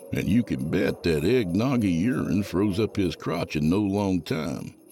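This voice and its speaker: A man speaks at a fairly slow pace with lively intonation over noticeable background noise. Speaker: horror fiction podcast host reading a story aloud. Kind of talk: horror story reading, dramatic narration. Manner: animated, playful.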